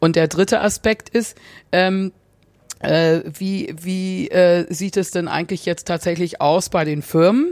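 A very slow woman's voice at medium pitch, fairly even in intonation, on a very clean recording with a silent background. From England, South Africa and Germany. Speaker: advertising consultant. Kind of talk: interview. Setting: hotel room.

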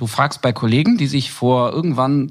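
Moderate pacing from a man with an ordinary speaking voice and ordinary pitch variation. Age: 40s. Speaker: insurance business founder. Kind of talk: interview.

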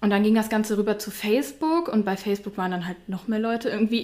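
Against noticeable background noise, a woman with a fairly high voice talks at a very fast pace. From Mönchengladbach, Lower Rhine, Germany. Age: 20s. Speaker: influencer. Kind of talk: casual interview chat.

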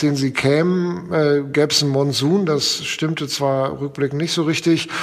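A man with a fairly high voice speaks at a moderate pace. His intonation is flat and monotone, with noticeable background noise. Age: 50s. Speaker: foundation executive and lawyer. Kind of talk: casual interview. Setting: remote call from his office.

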